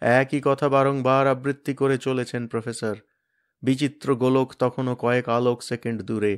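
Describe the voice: Against a quiet background, someone does plain reading aloud with fairly even intonation.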